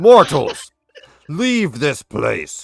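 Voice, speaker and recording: A man does a put-on character voice, booming and pitched fairly high. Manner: commanding, ominous.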